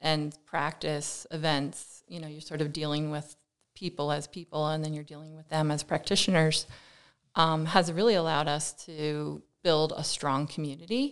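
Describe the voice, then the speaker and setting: A woman with an American accent, at a fairly slow pace, in a very deep, low pitch, with big swings in loudness. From Pennsylvania, Lehigh Valley. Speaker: architect. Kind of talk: interview conversation.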